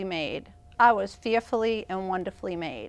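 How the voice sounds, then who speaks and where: A woman speaks with an American accent and ordinary pitch variation. The recording is very clean, with a silent background. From Boston, Massachusetts, US. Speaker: evangelist and author. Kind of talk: talk show interview. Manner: animated.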